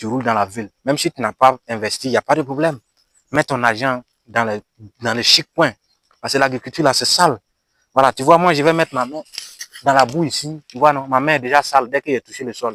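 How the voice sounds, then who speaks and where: Pausing long and often yet talking at a fairly quick pace, a man with a bright, sharp tone and medium pitch shows ordinary pitch variation and big swings in loudness, in a dry, close sound with no echo. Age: 20s. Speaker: farmer. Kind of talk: comedic vlog monologue. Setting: outdoors. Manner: animated.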